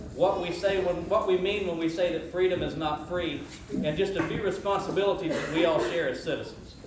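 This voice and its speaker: A loud man with a high pitch talks at a fairly quick pace with fairly even intonation. Noticeable background noise and audible room echo surround him. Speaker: county commissioner, keynote speaker. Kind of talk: ceremonial speech. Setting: indoor ceremony hall with audience. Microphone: speaking without holding the mic.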